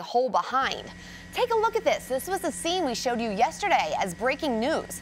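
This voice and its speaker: Over noticeable background noise, a speaker with an American accent goes at a fairly quick pace, with very wide pitch swings. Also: woman. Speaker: news anchor and reporter. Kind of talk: TV news anchor read. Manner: clear, polished, brisk.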